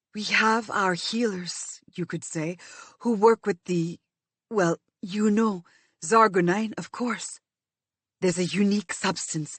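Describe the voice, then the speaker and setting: In a put-on character voice, a woman speaks softly and fairly slowly, raspy, at a medium pitch. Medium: read story. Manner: gentle, soft-spoken.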